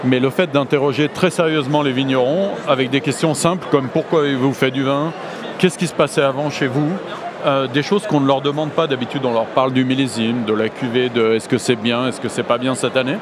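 A man talks at a fairly quick pace, his medium pitch showing ordinary variation, with noticeable background noise. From northern Rhône valley, near Lyon, France. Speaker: wine author. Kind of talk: interview. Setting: studio.

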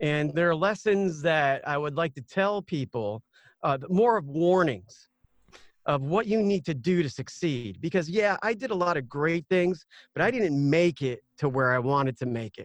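A man with a normal speaking voice talks at a moderate pace in a fairly high pitch with lively intonation. The sound is dry and close with no echo, against a quiet background. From US South, Georgia. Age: 40s. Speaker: ring announcer and voiceover artist. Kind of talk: casual chat.

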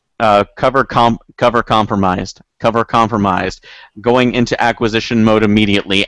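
On a very clean recording with a silent background, a man puts on a robotic character voice at a medium pitch, speaking at a moderate pace with long, frequent pauses. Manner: flat, mechanical.

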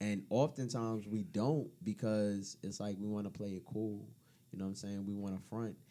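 The man's voice is fairly low and dark, mellow in tone. He talks at a moderate pace with ordinary pitch variation. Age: 30s. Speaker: podcast guest. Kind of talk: casual chat.

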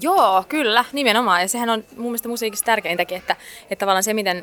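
A woman races along at a very fast pace, her pitch varying in an ordinary way. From Finland. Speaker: singer. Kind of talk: interview. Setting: cafe in a library. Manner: halting.

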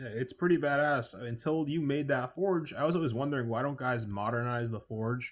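A man talks at a fairly quick pace with hardly any pauses, at a medium pitch with ordinary pitch variation, in a normal speaking voice. The recording is very clean, with a silent background. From New York. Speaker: podcast co-host, knife maker. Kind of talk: casual chat. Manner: fast, stumbling.

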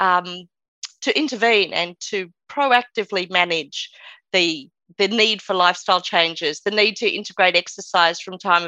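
A woman with an unremarkable speaking voice talks at a medium pitch and a moderate pace, with ordinary pitch variation. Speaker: podcast co-host, physician. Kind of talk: interview conversation.

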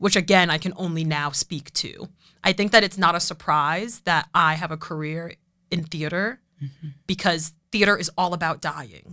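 A woman's fairly low-pitched, bright, sharp voice in an American accent, at a moderate pace with fairly even intonation, on a very clean recording with a silent background. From Boston, Roslindale neighborhood. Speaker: theatre writer and director. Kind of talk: podcast interview.

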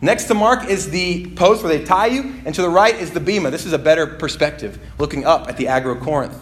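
Over noticeable background noise, a man with a high pitch speaks in an animated tone with very wide pitch swings. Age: 20s. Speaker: pastor. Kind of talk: sermon. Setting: church.

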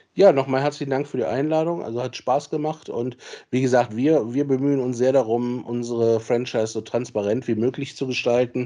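At a fairly quick pace, a man talks in a dark, mellow tone at a medium pitch with fairly even intonation. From Solingen, western Germany. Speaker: football club general manager and lawyer. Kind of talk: interview.

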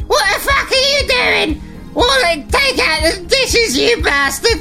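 An extremely high-pitched, put-on character voice moves at a fairly slow pace. Clear music plays in the background. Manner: shouting, nagging.

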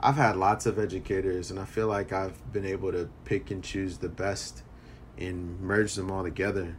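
A man's very deep, low, somewhat breathy voice with an American accent, moderate pace and ordinary pitch variation. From US, Philadelphia. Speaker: high school history teacher. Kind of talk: casual interview. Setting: remote recording from home.

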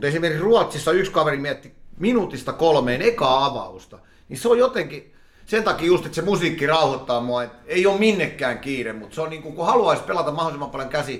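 Loud and at a fairly quick pace, a man speaks with very wide pitch swings. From Helsinki, Finland. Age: 40s. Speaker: poker player and market trader. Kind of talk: interview.

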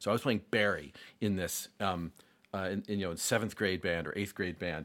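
Speaking with an American accent, a man talks at a fairly quick pace in a fairly low pitch, a plain, everyday voice. The recording is very clean, with a silent background. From US Northeast, Rochester, New York. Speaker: jazz saxophonist and music educator. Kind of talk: casual interview conversation.

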